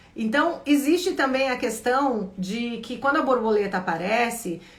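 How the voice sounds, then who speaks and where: A high-pitched woman's voice with audible room echo. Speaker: spiritual coach. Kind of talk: live Q&A stream. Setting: livestream.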